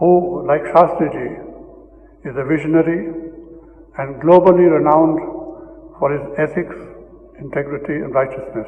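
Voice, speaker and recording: A man with a fairly high voice speaks at a moderate pace. He leaves long, frequent pauses amid noticeable background noise. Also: ordinary pitch variation. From Northern India. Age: 80s+. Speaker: retired diplomat. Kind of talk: award acceptance speech. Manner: formal.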